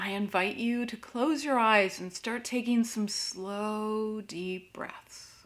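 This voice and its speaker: Soft-spoken, with a calm, soothing tone, a fairly high-pitched woman speaks at a very slow pace with hardly any pauses and fairly even intonation. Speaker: crystal meditation teacher and Reiki master. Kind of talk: guided meditation with slow breathing prompts and reflective questions. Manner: slow, calm and soothing, with long pauses between prompts; gentle and inviting, posing soft introspective questions. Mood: calm, gentle. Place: home room.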